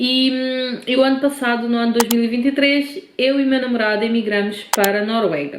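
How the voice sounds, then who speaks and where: Her fairly high voice stays fairly even as the woman talks at a moderate pace, with noticeable background noise and audible room echo. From Cape Verde, then Portugal from age 15. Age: 30s. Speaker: vlogger. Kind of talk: personal vlog storytelling.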